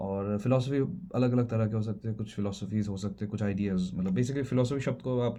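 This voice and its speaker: A dark, mellow tone comes with intonation that stays fairly even. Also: man. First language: not Hindi (speaking Hindi). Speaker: video creator. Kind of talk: casual monologue vlog. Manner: halting, many fillers and restarts.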